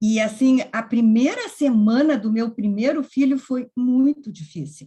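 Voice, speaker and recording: Speaking at a fairly slow pace, a woman has a high pitch and a dark, mellow tone. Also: ordinary pitch variation. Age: 70s. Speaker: workshop presenter. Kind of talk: personal testimony in online workshop.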